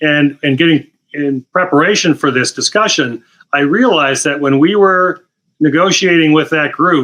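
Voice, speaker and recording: With very even loudness and ordinary pitch variation, a man speaks at a moderate pace in a fairly high pitch with a bright, sharp tone. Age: 60s. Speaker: retired anesthesiologist. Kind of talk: interview.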